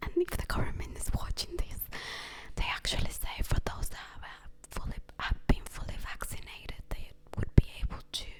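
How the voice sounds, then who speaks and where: Whispered speech rises and falls sharply in loudness over noticeable background noise. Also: woman, moderate pace. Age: young. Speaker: ASMR creator. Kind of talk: casual storytelling monologue. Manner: soft-spoken.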